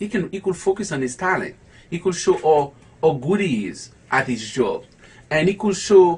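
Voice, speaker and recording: A man's fairly high voice, edged with vocal fry. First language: not English. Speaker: low vision educator. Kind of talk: online talk. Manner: halting.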